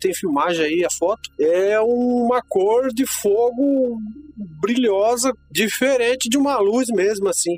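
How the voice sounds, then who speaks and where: Noticeable background noise sits behind very slow speech that sounds dry and close, with no echo. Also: man. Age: 40s. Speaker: heavy machine operator. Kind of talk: recorded personal testimony.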